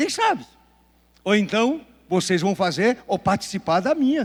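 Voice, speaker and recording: A man with a high pitch talks very slowly with lively intonation. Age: 70s. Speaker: pastor. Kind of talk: sermon.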